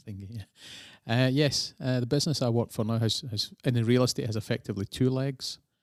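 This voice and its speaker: In a Scottish accent, the speaker moves at a fairly quick pace with fairly even intonation, in a dry, close sound with no echo on a very clean recording with a silent background. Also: man, medium pitch for a man. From Scotland, near Glasgow. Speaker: real estate investor. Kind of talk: casual interview chat. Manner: hesitant, many fillers.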